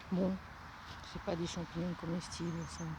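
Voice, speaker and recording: A soft-spoken voice with monotone, flat intonation. The pace is fairly slow. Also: woman. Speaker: vlogger. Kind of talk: walking vlog. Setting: outdoors. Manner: halting.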